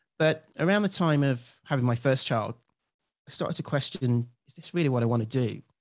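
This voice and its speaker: At a fairly quick pace, a man with a British accent speaks in a medium pitch over a quiet background. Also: ordinary pitch variation. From UK, London area. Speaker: former lawyer turned coach and author. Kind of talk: interview.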